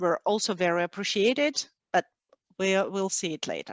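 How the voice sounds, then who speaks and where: A medium-pitched woman's voice with a Russian accent. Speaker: cheesemonger. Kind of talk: webinar presentation. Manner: halting, many fillers.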